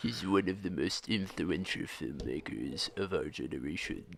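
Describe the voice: Putting on a character voice, a man talks at a moderate pace in a very deep, low register, with clear background noise behind him.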